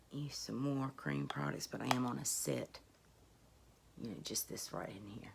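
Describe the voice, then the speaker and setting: A woman speaks at a moderate pace with long, frequent pauses. Her very deep, low pitch carries vocal fry and very wide pitch swings. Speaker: beauty YouTuber. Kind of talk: casual talk to camera.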